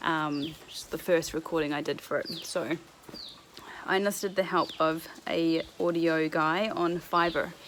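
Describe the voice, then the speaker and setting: A woman speaks in a fairly low pitch at a fairly slow pace. Her intonation is monotone and flat, with a New Zealand accent. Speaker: vlogger. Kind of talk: casual vlog chat. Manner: casual, with fillers.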